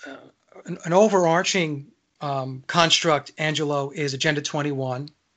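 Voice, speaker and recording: A man with a plain, everyday voice, fairly high in pitch, at a moderate pace with big swings in loudness. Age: 60s. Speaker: radio host. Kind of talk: casual chat.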